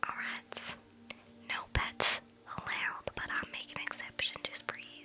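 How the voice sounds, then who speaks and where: Noticeable background noise lies under speech that goes at a very slow pace. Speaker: ASMR streamer. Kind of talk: casual chat with live chat viewers. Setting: live stream on laptop. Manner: loud, speaking up rather than whispering.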